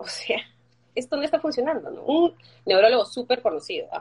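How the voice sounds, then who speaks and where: A woman talks at a moderate pace. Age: 40s. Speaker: fibromyalgia patient sharing her story. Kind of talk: interview testimony.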